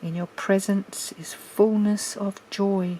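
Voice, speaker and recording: Over noticeable background noise, a woman with an Australian accent speaks at medium pitch and a very slow pace. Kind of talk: scripture reading. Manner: relaxed, calm.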